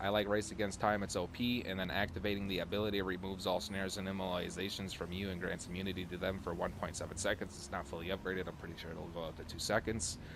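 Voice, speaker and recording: A man with a very deep, low voice talks at a fairly quick pace, and room echo is audible. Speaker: gaming youtuber. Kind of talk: gameplay tutorial commentary. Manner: fast; casual.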